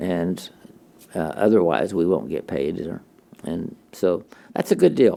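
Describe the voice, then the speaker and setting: Lively intonation and vocal fry run through a dark, mellow tone at a fairly slow pace. Long pauses come often. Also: man, very deep, low pitch for a man. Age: 80s+. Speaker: retired missionary and theologian. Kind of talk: interview conversation.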